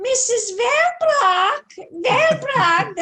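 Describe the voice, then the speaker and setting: A squeaky, put-on character voice from a woman, extremely high-pitched, in a German accent. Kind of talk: formal address, title plus surname.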